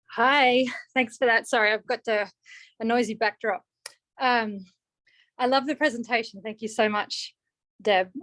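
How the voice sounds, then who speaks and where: In an Australian accent, a woman speaks at a moderate pace with long, frequent pauses, her fairly high voice bright and sharp in tone with fairly even intonation, in a dry, close sound with no echo on a very clean recording with a silent background. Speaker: audience member asking a question. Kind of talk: question at seminar.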